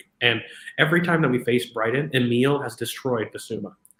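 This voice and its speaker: A man speaks at a fairly quick pace with a bright, sharp tone. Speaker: football podcast host. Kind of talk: tactical match analysis. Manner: fast.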